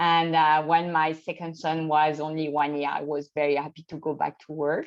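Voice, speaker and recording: A woman with a French accent, her pitch very deep and low, in a flat monotone at a moderate pace. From France, Champagne region. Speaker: expat spouse. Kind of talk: interview. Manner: hesitant, with fillers.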